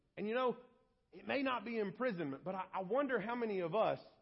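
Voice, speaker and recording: Loud and high-pitched, a man speaks with lively intonation. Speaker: pastor. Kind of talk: sermon. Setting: church.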